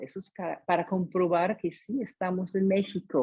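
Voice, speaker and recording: A woman's somewhat breathy, dark, mellow voice at a medium pitch and a very slow pace. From US, San Diego, California. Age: 60s. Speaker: testimony speaker. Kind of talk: testimony. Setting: video call. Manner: halting.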